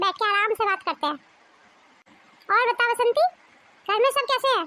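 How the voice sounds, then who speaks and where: A woman puts on a squeaky, cartoonish character voice at an extremely high pitch. She keeps a moderate pace, and the sound is dry and close with no echo. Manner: warm, familiar.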